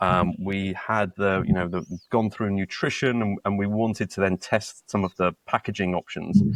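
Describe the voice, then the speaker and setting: A man talks with a British accent and fairly even intonation. The sound is dry and close, with no echo. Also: fairly low pitch for a man, moderate pace. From UK. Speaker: startup co-founder. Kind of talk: podcast interview. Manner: halting, many repetitions and fillers.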